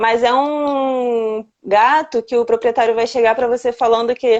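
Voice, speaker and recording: Here is a woman with a normal speaking voice. Her pitch is fairly high. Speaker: veterinarian. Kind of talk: live-stream lecture. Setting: live stream.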